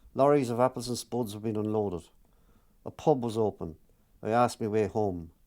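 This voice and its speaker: A man with an Irish accent speaks at a fairly quick pace, taking long, frequent pauses. His fairly low voice has a dark, mellow tone and ordinary pitch variation. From Ireland. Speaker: author. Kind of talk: reading from own autobiographical book.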